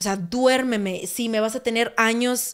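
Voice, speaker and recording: In a very clean recording with a silent background, a woman with an ordinary speaking voice speaks at a fairly slow pace, her fairly high pitch following fairly even intonation. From Mexico, Sonora (Hermosillo). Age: 20s. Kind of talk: casual testimony chat.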